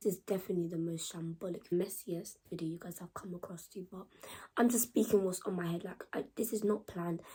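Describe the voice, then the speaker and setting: Here the voice is somewhat breathy. The tone comes across as dark and mellow. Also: woman. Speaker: YouTuber. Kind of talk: casual chat. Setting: home. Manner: laid back, unscripted.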